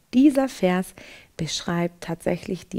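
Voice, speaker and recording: A fairly slow pace carries the dark, mellow tone of this voice. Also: woman. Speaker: presenter. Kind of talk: devotional Bible commentary. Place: studio. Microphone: headset.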